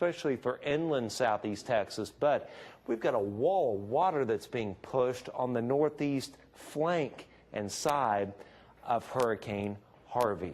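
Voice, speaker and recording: In an unremarkable speaking voice of medium pitch, a man talks at a fairly slow pace with lively intonation. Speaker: meteorologist. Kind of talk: TV weather forecast.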